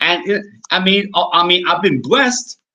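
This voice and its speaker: The man's tone is bright and sharp. He keeps a moderate pace. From US inner city, Spanish-speaking home. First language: Spanish. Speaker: indie horror author. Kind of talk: casual interview chat. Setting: interview recording. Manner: halting, many repeated words.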